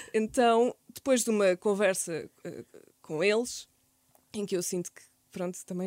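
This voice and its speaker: The recording has a dry, close sound with no echo as a woman talks at a medium pitch and a fairly slow pace with ordinary pitch variation. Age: 30s. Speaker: content creator and podcaster. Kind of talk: casual interview.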